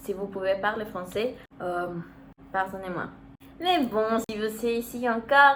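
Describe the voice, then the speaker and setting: Noticeable background noise accompanies a speaker with a Spanish accent who talks at a moderate pace with ordinary pitch variation. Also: woman. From Mexico. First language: Spanish (speaking French). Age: 19. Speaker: vlogger, university student. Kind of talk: casual vlog talk. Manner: halting, searching for words.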